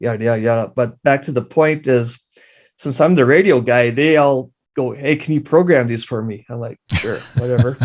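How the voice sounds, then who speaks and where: Speaking at a medium pitch, a man has a strong Midwestern accent. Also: ordinary pitch variation, moderate pace. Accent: thick Midwestern. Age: 40s. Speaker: amateur radio operator and YouTuber. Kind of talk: casual interview chat. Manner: animated.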